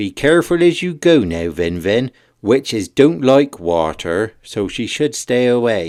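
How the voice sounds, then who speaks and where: Putting on a rumbling character voice, a man speaks at a medium pitch and a fairly slow pace with very wide pitch swings, in a very clean recording with a silent background. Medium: read story. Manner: grumbling.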